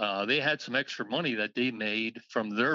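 Here is a man with an unremarkable speaking voice, medium in pitch and with ordinary pitch variation. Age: 60s. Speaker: car registry co-founder. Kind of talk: interview.

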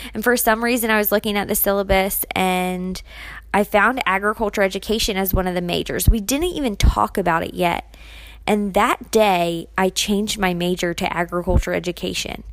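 In an American accent, a woman with an unremarkable speaking voice and a medium pitch speaks at a moderate pace with fairly even intonation, in a very clean recording with a silent background. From US, Maryland. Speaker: podcast host and agriculture teacher. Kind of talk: casual solo podcast monologue.

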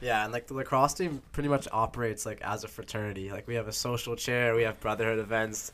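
Very fast delivery in an American accent, with hardly any pauses and fairly even intonation. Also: man, medium pitch for a man. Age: young. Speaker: podcast host, college student. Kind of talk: casual chat. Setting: dorm room.

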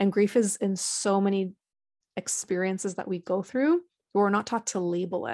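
With a plain, everyday voice, a woman speaks at a medium pitch with fairly even intonation, in a dry, close sound with no echo and a quiet background. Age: 20s. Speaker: founder of a grief support organization. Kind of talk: interview.

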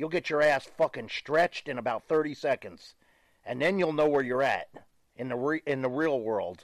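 Quiet background behind a man with a plain, everyday voice at a fairly high pitch. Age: 60s. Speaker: professional wrestler. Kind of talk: casual interview.

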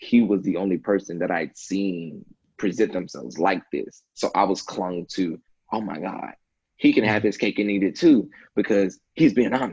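Here a man talks in a plain, everyday voice, fairly low in pitch, with ordinary pitch variation at a moderate pace. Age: 20s. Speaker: podcaster. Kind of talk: casual chat. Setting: home.

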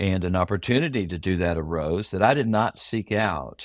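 Very deep, low male voice with an American accent, fairly slow pace, ordinary pitch variation and a very clean recording with a silent background. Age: 60s. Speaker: pastor. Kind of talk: interview, personal testimony.

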